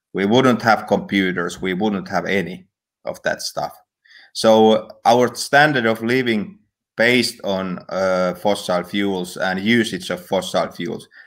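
Against a quiet background, the speaker talks at a very slow pace with ordinary pitch variation. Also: man, fairly low pitch for a man. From Finland. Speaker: energy company founder; guest. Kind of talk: interview. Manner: halting. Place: home room. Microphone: headset.

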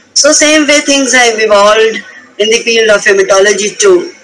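Noticeable background noise runs throughout, along with audible room echo. The talking proceeds at a medium speed. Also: woman. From India, Himalayan region. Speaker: hematopathology professor. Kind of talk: lecture.

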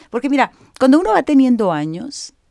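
Over a quiet background, a woman with a dark, mellow tone talks at a moderate pace with lively intonation. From Monterrey, northern Mexico; Mexico. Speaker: image consultant; guest. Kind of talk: interview. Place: home room. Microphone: studio mic.

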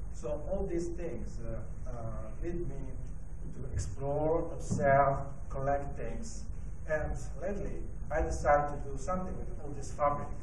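A man speaking fairly slowly, with noticeable background noise. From Italy. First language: Italian. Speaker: designer and design lecturer. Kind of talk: presentation talk. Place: hall. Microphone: handheld.

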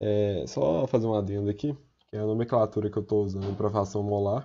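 The voice is somewhat breathy. It moves along at a fairly quick pace. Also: man. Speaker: student tutor. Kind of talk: tutorial. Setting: recorded video with slides. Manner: casual.

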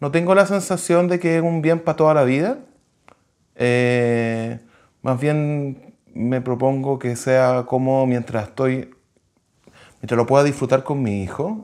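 With a Chilean accent, a man talks at a very slow pace with long, frequent pauses and ordinary pitch variation over a quiet background. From Santiago, Chile. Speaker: civil engineer; interviewee. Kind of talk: interview testimony. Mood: calm, reflective. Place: home room. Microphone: lapel.

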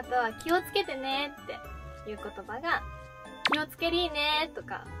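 Clear music plays in the background as a woman speaks with a Fukuoka accent. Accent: Hakata dialect. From Fukuoka, Japan. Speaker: idol. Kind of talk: casual talk to camera. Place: home room.

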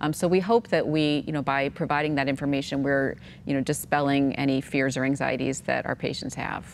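With light background noise behind her, a woman with a very deep, low pitch talks at a fairly quick pace in fairly even intonation. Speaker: genetic counselor. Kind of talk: expert explanation on a panel. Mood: calm, reassuring. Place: studio. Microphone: lapel.

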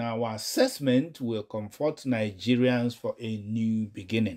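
A man speaks at a very slow pace in a dark, mellow tone. The recording is very clean with a silent background. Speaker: news commentator. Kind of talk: news reading with commentary.

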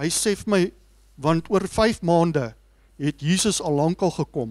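Against a quiet background, a high-pitched man with a South African accent speaks with ordinary pitch variation. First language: Afrikaans. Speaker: seminar organizer and moderator. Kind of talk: speech introduction. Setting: stage with audience. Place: hall. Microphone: handheld.

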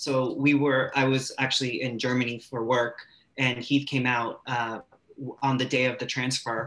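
Speaking at a moderate pace with a Californian accent, a man has a bright, sharp tone and a monotone, flat intonation. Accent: Californian American. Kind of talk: personal story on a webinar panel. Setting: video call. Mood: cheerful, joking. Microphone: video call.

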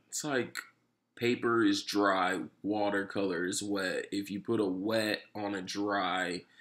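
The background is quiet as a man speaks at a very slow pace. His fairly low voice has a monotone, flat intonation. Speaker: tattoo artist and painter. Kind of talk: casual chat on camera. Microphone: phone near.

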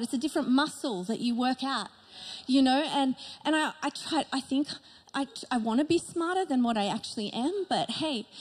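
A woman with a high voice speaks at a moderate speed, her pitch moving in an ordinary way. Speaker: pastor. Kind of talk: sermon. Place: stage. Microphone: handheld.

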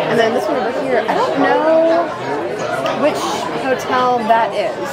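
A woman talks at a moderate pace with ordinary pitch variation. Crowd noise fills the background. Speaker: travel vlogger. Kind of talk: casual vlog chat. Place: cafe. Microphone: phone near.

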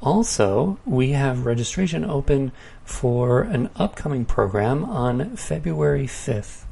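At a very slow pace, a man with medium pitch speaks with lively intonation. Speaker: podcast announcer. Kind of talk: announcements and scripted intro.

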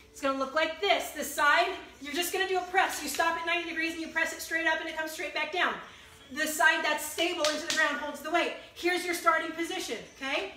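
A woman projects a raised voice at an extremely high pitch, talking very fast in a flat monotone with big swings in loudness, audible room echo and light background noise. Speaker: fitness instructor. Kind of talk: live-streamed HIIT workout class with rhythmic rep cues and countdowns. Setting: video livestream on a social media group. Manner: encouraging, pushy motivator urging through the burn. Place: home room. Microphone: phone near.

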